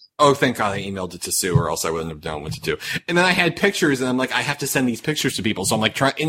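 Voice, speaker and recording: Very fast speech from a man at a medium pitch, with very wide pitch swings and noticeable background noise. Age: 30s. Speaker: podcast host. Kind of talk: casual chat. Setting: online call. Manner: animated.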